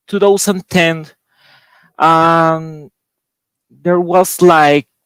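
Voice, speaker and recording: Speaking with a Spanish accent, a man goes at a very slow pace in a dry, close sound with no echo. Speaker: board game designer. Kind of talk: panel discussion. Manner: halting.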